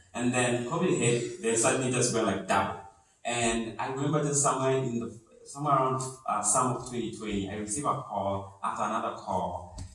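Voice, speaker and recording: Over noticeable background noise, a man speaks at a medium pitch and a fairly quick pace. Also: ordinary pitch variation. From Kenya. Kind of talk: interview answer.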